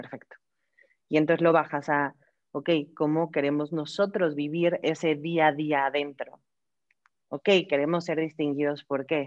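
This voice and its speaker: A woman's very deep, low voice in a Mexican accent, monotone and flat, with long, frequent pauses over a quiet background. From Mexico. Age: 30s. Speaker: human resources director. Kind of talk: interview. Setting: video call.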